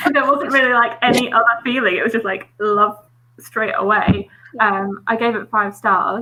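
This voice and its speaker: A woman with a British accent and fairly high pitch at a moderate pace, with noticeable background noise. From England. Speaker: book youtuber. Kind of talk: casual chat.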